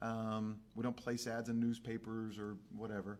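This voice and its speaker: This man speaks at a medium pitch. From Texas (San Angelo, Fort Worth). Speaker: record pressing company executive. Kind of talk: casual chat. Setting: live stream.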